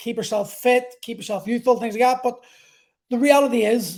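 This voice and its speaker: In an Irish accent, a man speaks at an extremely high pitch. His intonation is fairly even. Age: 40s. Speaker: podcast host. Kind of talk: monologue. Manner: halting.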